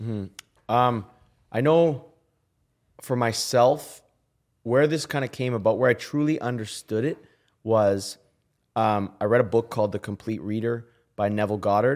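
A man with a Canadian accent talks at a medium pitch and moderate pace, leaving long, frequent pauses. The recording is very clean, with a silent background. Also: ordinary pitch variation. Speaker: musician. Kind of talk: casual chat.

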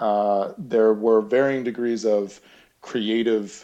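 With an American accent and a normal speaking voice, a man talks at a fairly slow pace and a medium pitch. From Massachusetts, outside Boston. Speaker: in-house creative agency head. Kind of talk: interview conversation.

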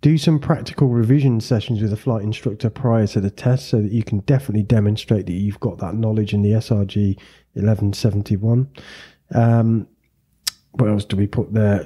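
In a very clean recording with a silent background, a man talks at a fairly quick pace and fairly low pitch in a dark, mellow, somewhat breathy tone with ordinary pitch variation. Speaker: podcast host and flight school owner. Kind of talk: casual interview chat.

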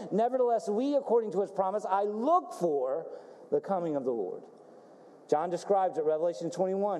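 There is noticeable background noise behind this man. His voice is high and his pace fairly quick. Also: lively intonation. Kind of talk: sermon with call-and-response. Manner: animated, exhortative, building in intensity; rhetorical questions, pauses for congregation's "amen".

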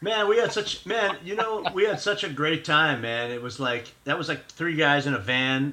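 A man with a fairly high pitch speaks in an American accent at a moderate pace, with very wide pitch swings and hardly any pauses. Noticeable background noise runs under the recording. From Miami, Florida (born New York). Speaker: jazz guitarist. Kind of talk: casual interview chat.

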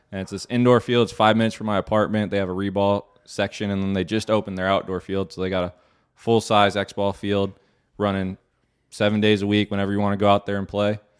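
Talking very fast with an American accent, a man keeps his fairly low voice monotone and flat. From Arizona. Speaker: professional paintball player. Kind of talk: interview.

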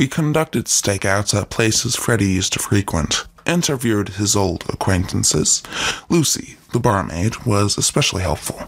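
Over noticeable background noise, a man with fairly low pitch and lively intonation speaks at a moderate pace with very even loudness. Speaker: co-host sidekick. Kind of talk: scripted banter with in-character detective lines during story.

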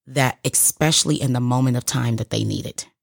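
A woman's vocal fry, dry and close with no echo, on a very clean recording with a silent background. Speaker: guest. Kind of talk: casual chat.

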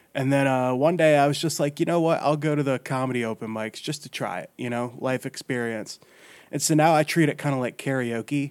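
An unremarkable speaking voice with an American accent moves at a fairly quick pace with fairly even intonation, on a very clean recording with a silent background. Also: man, fairly high pitch for a man. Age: 20s. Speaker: comedian. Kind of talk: casual chat.

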